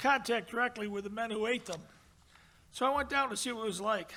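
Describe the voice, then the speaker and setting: In a raised, projected voice, a man with an American accent speaks at a high pitch with a bright, sharp tone and ordinary pitch variation. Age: 80s+. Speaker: award recipient. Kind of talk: acceptance speech.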